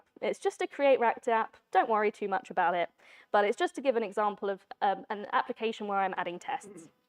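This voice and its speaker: A woman's voice with very wide pitch swings, dry and close with no echo, over music in the background. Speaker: conference speaker, software developer. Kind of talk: tech talk with live demo. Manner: fast.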